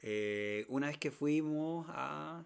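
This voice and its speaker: On a very clean recording with a silent background, a man with a Chilean accent speaks very slowly at a fairly high pitch, with ordinary pitch variation. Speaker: podcast co-host. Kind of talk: casual chat.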